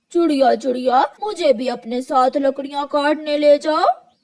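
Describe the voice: A cartoonish character voice, pitched high, speaks at a fairly slow pace.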